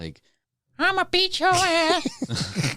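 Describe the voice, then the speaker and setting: The speaker uses a put-on character voice. It sits extremely high. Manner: threatening, comically.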